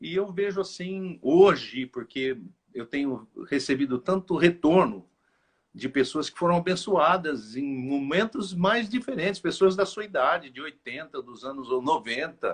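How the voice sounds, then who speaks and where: A man talks at a fairly slow pace with a high pitch and lively intonation. His loudness swings widely. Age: 60s. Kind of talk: interview. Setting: live stream interview.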